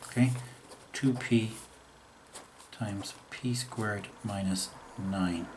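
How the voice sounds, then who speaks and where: A man with a fairly low voice speaks at a very slow pace, using fairly even intonation and long, frequent pauses. Room echo and noticeable background noise are audible. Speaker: maths teacher. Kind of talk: tutorial.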